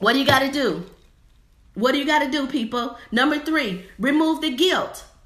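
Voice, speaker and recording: An animated tone carries ordinary pitch variation at a moderate pace, with audible room echo. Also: woman, high pitch for a woman. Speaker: faith-based divorce coach and minister. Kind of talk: motivational livestream sermon. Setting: live stream. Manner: animated, preacherly.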